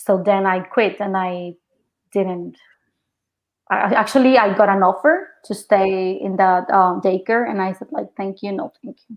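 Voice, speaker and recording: The speaker goes at a fairly slow pace with a Mexican accent. Loudness swings widely while pitch varies in an ordinary way. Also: woman, medium pitch for a woman. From Mexico. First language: Spanish. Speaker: actress. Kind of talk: interview. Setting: podcast.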